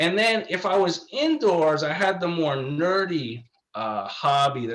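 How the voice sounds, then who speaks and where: A man with a New York accent, lively intonation and a fairly slow pace. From New York, just north of New York City. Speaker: law professor. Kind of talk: interview.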